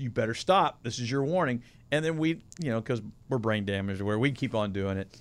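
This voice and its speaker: An ordinary speaking voice from a man, medium in pitch and fairly quick, in a very clean recording with a silent background. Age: 50s. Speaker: podcast co-host. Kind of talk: casual chat.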